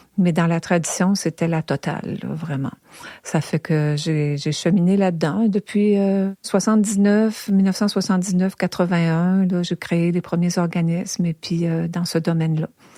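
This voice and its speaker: A woman speaks at a fairly slow pace with a fairly low pitch and a dark, mellow tone. Her intonation is fairly even, and the sound is dry and close with no echo. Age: 70s. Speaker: traditional singer and musician. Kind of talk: interview. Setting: at home.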